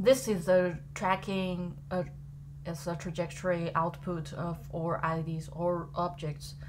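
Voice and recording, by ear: A woman with a fairly low pitch speaks slowly, her pitch moving very little.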